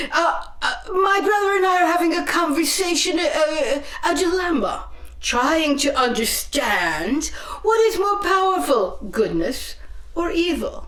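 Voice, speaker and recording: A woman speaks in a put-on character voice. Her pace is moderate, with a slight echo. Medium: stage play. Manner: hesitant, stammering politeness.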